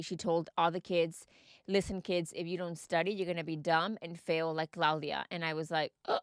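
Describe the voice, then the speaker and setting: A woman with a Mexican accent talks at a fairly quick pace and a fairly low pitch in a flat monotone, in a very clean recording with a silent background and a dry, close sound with no echo. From Texas, Mexican family. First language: Spanish. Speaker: podcast host. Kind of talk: personal storytelling podcast.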